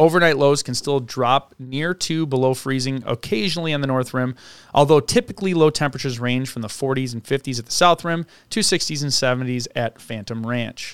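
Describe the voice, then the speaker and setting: A man speaks at a fairly quick pace and medium pitch, with ordinary pitch variation and an ordinary speaking voice. The recording is very clean, with a silent background. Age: 30s. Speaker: podcast co-host. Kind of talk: casual chat with read-out research.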